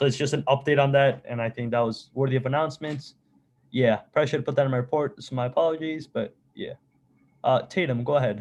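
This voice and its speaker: A man with a non-native accent, fairly high in pitch, talking very fast with fairly even intonation. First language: not English. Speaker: student government meeting chair. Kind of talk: meeting.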